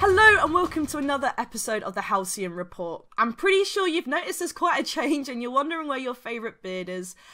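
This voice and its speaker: A woman speaks at a very fast pace with hardly any pauses, her high voice raised and projected, bright and sharp in tone, swinging very widely in pitch. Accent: British. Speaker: esports show host. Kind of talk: podcast hosting.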